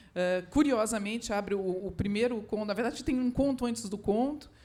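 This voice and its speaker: A woman talks at a fairly quick pace with a fairly high pitch and ordinary pitch variation. Room echo is audible. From southern Brazil, Porto Alegre. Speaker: writer. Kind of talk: literary panel talk. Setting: stage with audience. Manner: halting.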